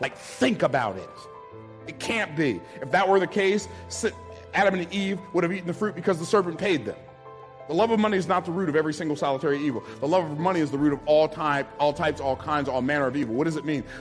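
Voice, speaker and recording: A man's energetic, passionate delivery at a very fast pace, fairly high-pitched, with lively intonation and music in the background. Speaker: business speaker. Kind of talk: motivational speech.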